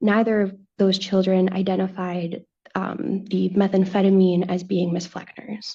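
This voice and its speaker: Somewhat breathy, a woman with a dark, mellow tone speaks at a medium pitch and a fairly slow pace in a monotone, flat intonation. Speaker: defense attorney. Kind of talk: cross-examination. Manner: mumbles a little. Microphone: glitchy remote connection.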